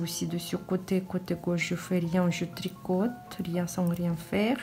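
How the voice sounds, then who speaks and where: A woman with a non-native accent speaks at a very slow pace while music plays in the background. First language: not French (speaking French). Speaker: knitting teacher. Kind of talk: tutorial. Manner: halting.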